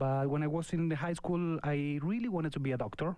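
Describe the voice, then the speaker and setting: A man with an Argentine accent and a dark, mellow tone speaks at a fairly quick pace with ordinary pitch variation. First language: Spanish. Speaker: winemaker. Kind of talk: radio interview. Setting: studio. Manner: halting.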